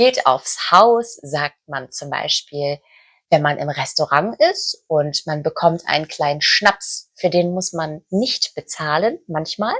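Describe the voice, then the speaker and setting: Recorded dry and close with no echo, a woman with a fairly low pitch talks at a very slow pace with lively intonation. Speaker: German language teacher. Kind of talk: language lesson talk to camera.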